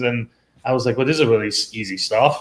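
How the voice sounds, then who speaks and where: A man talks at a very fast pace. He speaks with a Persian accent. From Iran. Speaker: tech professional turned robotics teacher. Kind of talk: interview. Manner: hesitant, many fillers.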